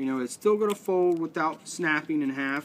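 A man at a moderate pace with lively intonation, over light background noise. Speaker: outdoors crafts demonstrator. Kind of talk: tutorial. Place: garden.

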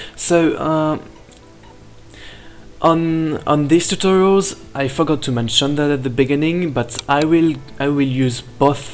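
Music in the background behind a man with a non-native accent, his pitch fairly high, his pace fairly slow, with long, frequent pauses. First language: not English. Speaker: animation software tutorial maker. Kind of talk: software tutorial narration. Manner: loud.

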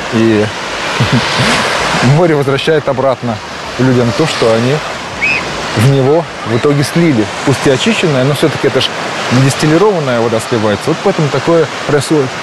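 Over loud background noise, the speaker moves at a moderate pace with long, frequent pauses, and the sound is dry with no echo. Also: man, ordinary pitch variation. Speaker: vlogger. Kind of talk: casual vlog chat. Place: beach. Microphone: lapel.

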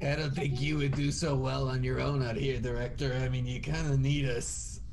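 A man performs a put-on character voice at a moderate pace. Loud background noise runs behind him. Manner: protective, indignant.

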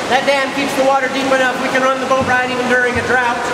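Loud background noise and audible room echo around a man talking at a fairly quick pace. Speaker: cave tour guide. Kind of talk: guided tour commentary. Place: tunnel cave. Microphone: camera far.

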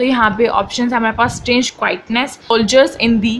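Noticeable background noise accompanies a woman's high-pitched voice. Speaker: online tutor. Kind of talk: tutorial.

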